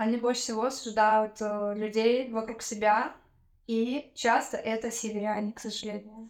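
Delivered at a moderate pace, the speech has monotone, flat intonation and big swings in loudness. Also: woman, fairly high pitch for a woman. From Russia, Tyumen. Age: 30s. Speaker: podcast guest. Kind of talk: casual chat.

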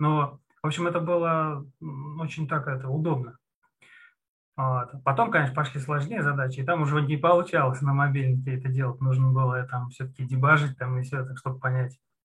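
The man speaks at a fairly quick pace in a fairly high voice. His intonation stays fairly even. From Russia, Moscow region. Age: 30s. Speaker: junior programmer, former CNC machine programmer. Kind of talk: interview. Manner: hesitant, with many fillers.

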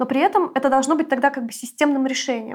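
On a very clean recording with a silent background, a woman talks at a high pitch with fairly even intonation. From Russia (Siberia and Moscow). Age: 20s. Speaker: feminist anti-war activist. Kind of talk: interview.

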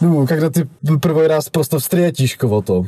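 A man with a Czech accent and a dark, mellow tone. His pitch sits fairly high for a man and moves with ordinary variation. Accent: Czech accent in Russian. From Czech Republic. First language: Czech (speaking Russian). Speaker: podcast host's boyfriend. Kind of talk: casual interview. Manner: halting.

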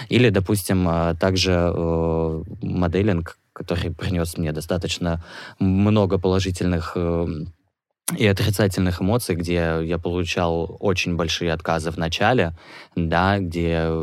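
A man speaks at a fairly slow pace in a very deep, low pitch, his intonation flat and monotone. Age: 20s. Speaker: HIV activist, model and actor. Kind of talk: interview testimony. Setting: studio.

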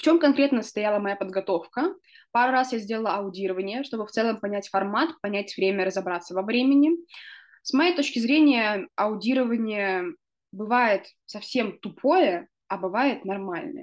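A woman speaks at a moderate pace in a fairly high voice. It is an unremarkable speaking voice. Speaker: podcast host. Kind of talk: casual chat.

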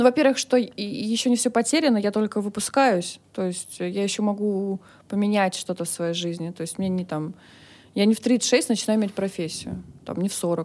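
At a moderate speed, a woman talks in a plain, everyday voice, her pitch varying in an ordinary way. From Russia, Moscow. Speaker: business founder and director. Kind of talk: interview.

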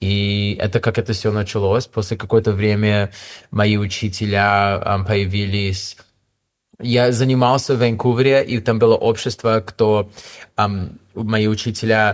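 In a very clean recording with a silent background, a man with an English accent speaks at a fairly slow pace in a fairly low pitch, with monotone, flat intonation and long, frequent pauses. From Canada, Toronto. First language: English (speaking Russian). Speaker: yoga teacher. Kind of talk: interview. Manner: halting.

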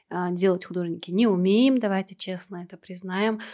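The recording is very clean, with a silent background. A woman speaks at a fairly quick pace with a medium pitch and a monotone, flat intonation. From Kazakhstan, Temirtau. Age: 30s. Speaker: tattoo artist and podcast co-host. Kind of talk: casual chat.

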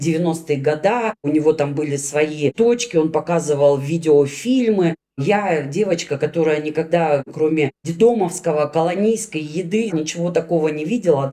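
A woman speaks at a very deep, low pitch and a fairly slow pace. Her pitch variation is ordinary. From Russia, Magnitogorsk (Chelyabinsk region). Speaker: former prisoner. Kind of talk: personal testimony interview.

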